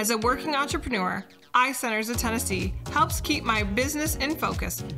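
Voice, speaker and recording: A woman with a Midwestern accent at a fairly quick pace, music in the background. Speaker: podcast host. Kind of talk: radio commercial read.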